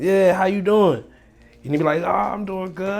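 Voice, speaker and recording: With music in the background, an animated voice with a D.C. accent speaks with ordinary pitch variation. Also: man. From Washington, D.C. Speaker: real estate wholesaler, online money creator. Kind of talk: casual chat and tips. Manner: animated, casual slang.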